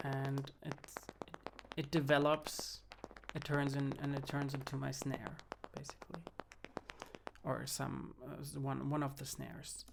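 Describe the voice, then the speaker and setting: Over noticeable background noise, a man with a German accent speaks at a fairly slow pace, leaving long, frequent pauses. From Germany. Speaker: music producer and film composer. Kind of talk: tutorial. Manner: halting, many fillers and restarts.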